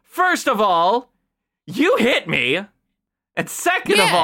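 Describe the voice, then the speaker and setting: A female-sounding, put-on character voice at a high pitch and a very slow pace. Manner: indignant, confrontational.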